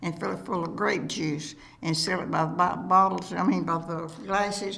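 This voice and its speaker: Speaking with a North Texas accent at a moderate pace, a woman with a fairly low pitch shows ordinary pitch variation over noticeable background noise. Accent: rural North Texas Southern. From Gober, Fannin County, Texas. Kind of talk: oral history interview answer.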